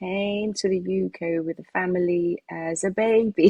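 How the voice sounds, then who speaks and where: A woman speaks with a British accent in a fairly low, somewhat breathy voice. Her intonation stays fairly even. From United Kingdom. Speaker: singer and songwriter. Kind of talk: interview. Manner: hesitant, many fillers.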